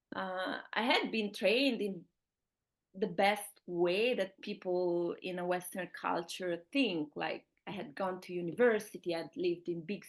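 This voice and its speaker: A woman speaks with an Italian accent. Her pitch is medium and her pace moderate. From Italy. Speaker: fertility awareness teacher. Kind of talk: interview.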